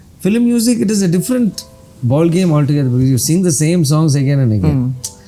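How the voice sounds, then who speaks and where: Over music in the background, a man talks at a very fast pace with very wide pitch swings. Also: fairly high pitch for a man, very even loudness. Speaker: playback and classical singer. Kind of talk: interview answer.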